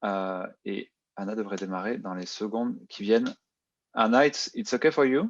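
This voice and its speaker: In a French accent, a man of medium pitch speaks at a fairly quick pace, the sound dry and close with no echo against a quiet background. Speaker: event host. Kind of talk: event introduction. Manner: halting.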